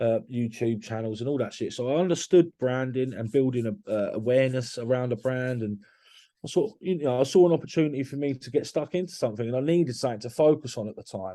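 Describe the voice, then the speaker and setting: In a London accent, a man speaks at a very fast pace with a dark, mellow tone, a medium pitch and ordinary pitch variation. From London area, Hertfordshire. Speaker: construction business owner. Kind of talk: podcast interview. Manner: animated; halting.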